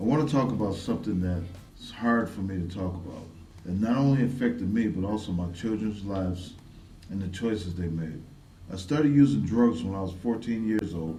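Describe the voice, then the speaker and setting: A man's fairly low voice with ordinary pitch variation and a moderate pace, with audible room echo. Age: 60s. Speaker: community advocate. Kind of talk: testimony. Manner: scripted narration, read from prepared text.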